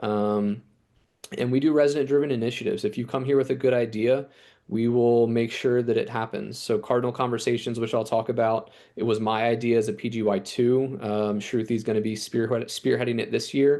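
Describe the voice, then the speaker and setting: Over a quiet background, a man with an American accent speaks at a fairly quick pace and medium pitch, his tone dark and mellow and his intonation flat and monotone. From New Jersey. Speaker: chief medical resident. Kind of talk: program presentation. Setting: video call from his office. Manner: fast.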